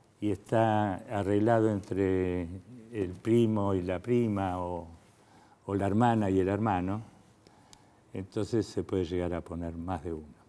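In an Argentine accent, a man speaks fairly slowly in a dark, mellow voice with fairly even intonation and long, frequent pauses. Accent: Argentine Spanish (Rioplatense). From Argentina. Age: 70s. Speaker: fertility doctor. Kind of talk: interview. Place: studio. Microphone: lapel.

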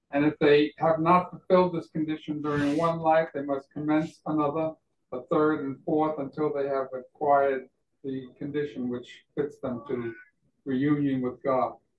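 At a moderate pace, a man speaks in a monotone, flat intonation with audible room echo. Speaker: presenter. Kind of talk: lecture. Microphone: video call.

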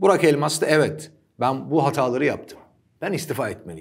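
A man speaks over a quiet background. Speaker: sports commentator. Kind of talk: commentary. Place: studio. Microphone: lapel.

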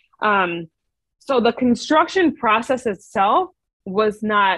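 Lively intonation stands out against a quiet background in a dry sound with no echo. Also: woman. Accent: American. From New York. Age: 30s. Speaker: podcast guest. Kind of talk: interview. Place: home room. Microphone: earbuds.

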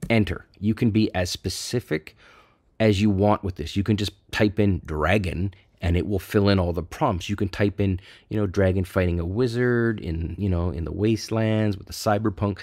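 With a Canadian accent and an unremarkable speaking voice, a man talks at a moderate pace in a fairly low pitch with ordinary pitch variation, captured in a very clean recording with a silent background. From Canada. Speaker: AI art tutorial YouTuber. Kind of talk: screen-recorded tutorial. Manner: casual, conversational.

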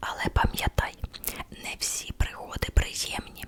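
Whispering at a very slow pace, the voice takes on a playful tone against noticeable background noise. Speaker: ASMR content creator. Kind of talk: ASMR horoscope reading. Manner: whispered, soft, playful.

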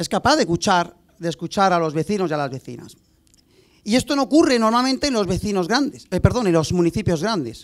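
A man talks at a very fast pace with a high pitch. His voice makes very wide pitch swings against a quiet background. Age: 40s. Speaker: mayoral candidate; candidate. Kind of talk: speech. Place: stage. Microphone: handheld.

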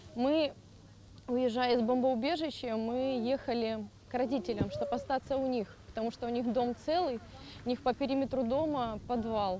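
With light background noise and a dry sound with no echo, a woman speaks at a moderate pace in a high pitch with fairly even intonation. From Mariupol, Ukraine; Ukraine. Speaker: refugee, former job centre employee. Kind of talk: emotional testimony; interview answer. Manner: halting, repeating words.

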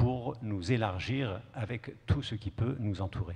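A man speaks at a very slow pace in a somewhat breathy voice. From Kurdish southeast Turkey. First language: Kurdish (speaking French). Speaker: poet. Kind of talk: panel discussion answer. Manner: halting. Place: stage. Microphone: handheld.

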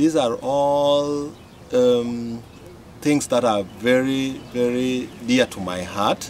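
There is light background noise as a man speaks very slowly. His pitch varies in an ordinary way. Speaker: interpreter; development consultant. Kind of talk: interpreted interview answer. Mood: earnest, heartfelt. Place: garden. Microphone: camera far.

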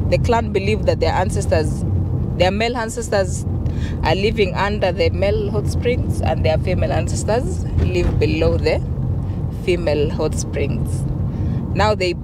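A woman at a moderate pace with long, frequent pauses, a dry sound with no echo and loud background noise. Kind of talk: storytelling. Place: car. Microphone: handheld.

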